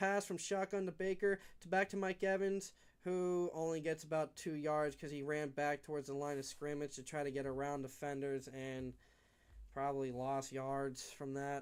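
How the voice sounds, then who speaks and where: A man with a fairly high voice speaks at a moderate pace with ordinary pitch variation. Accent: American. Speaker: livestream sports commentator. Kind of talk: live commentary. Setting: home, window open. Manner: animated.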